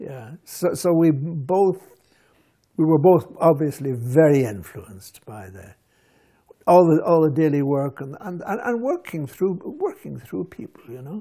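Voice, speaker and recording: With lively intonation and a dark, mellow tone, the speaker goes at a fairly slow pace, loudness swinging widely, over a quiet background. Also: man, fairly high pitch for a man. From Scotland, then Ireland border area; Scotland. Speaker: writer; interviewee. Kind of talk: interview. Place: home room. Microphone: lapel.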